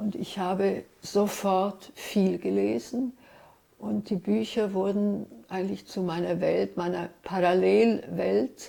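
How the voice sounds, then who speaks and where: Very slowly, a woman speaks. She has a Hungarian accent. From Switzerland, Zurich (early childhood Ljubljana, Trieste). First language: Hungarian (speaking German). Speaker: writer and literary translator. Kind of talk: interview, personal recollection.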